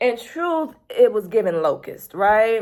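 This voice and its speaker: Animated in tone, a woman with an American accent speaks at a fairly slow pace, her fairly high pitch carried by lively intonation. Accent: Southern US accent, noticeable at the moment. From US South. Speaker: YouTuber, planner and productivity channel. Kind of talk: casual talk to camera. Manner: animated, conversational.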